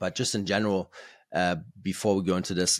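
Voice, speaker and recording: On a very clean recording with a silent background, a man with a German accent speaks at a very deep, low pitch. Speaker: podcast host. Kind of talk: casual chat. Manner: halting, many fillers and repeated words.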